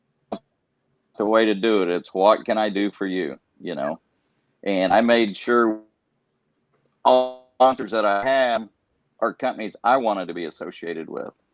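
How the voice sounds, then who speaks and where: With music in the background, a man with an American accent talks at a moderate pace in a fairly low pitch, with ordinary pitch variation, long and frequent pauses, and a dry, close sound with no echo. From Iowa. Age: 60s. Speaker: professional tournament angler. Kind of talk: podcast interview.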